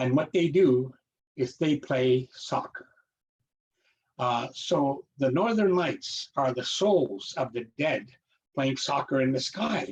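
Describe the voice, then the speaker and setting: A man with a fairly high pitch talks at a very slow pace, somewhat breathy, with lively intonation and long, frequent pauses. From Canadian Arctic, Nunavut (Naujaat). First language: Inuktitut. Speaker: storyteller and author. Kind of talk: storytelling talk. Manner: relaxed, with many fillers.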